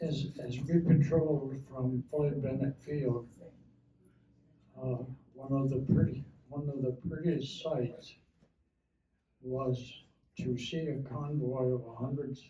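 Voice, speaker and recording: Pausing long and often, a man of medium pitch talks very slowly in a monotone, flat delivery. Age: 80s+. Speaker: war veteran. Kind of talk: oral history talk.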